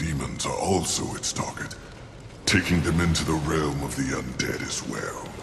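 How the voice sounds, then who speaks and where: A man puts on a character voice with a very deep, low pitch. There is clear echo and clear background noise. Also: moderate pace. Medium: video game. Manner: grandiloquent, measured.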